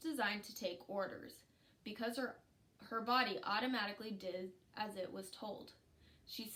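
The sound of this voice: The clip is an unforced reading voice with ordinary pitch variation.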